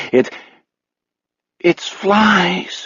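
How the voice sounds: Put-on character voice from a man. His pitch sits high.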